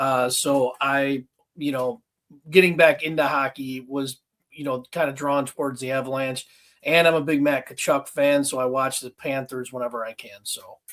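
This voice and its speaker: A man with a Western New York accent speaks at a moderate pace in a fairly high pitch, his intonation fairly even. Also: big swings in loudness. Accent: Western New York (Inland North). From Buffalo, New York. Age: 40s. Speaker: collector, police officer. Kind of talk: casual chat.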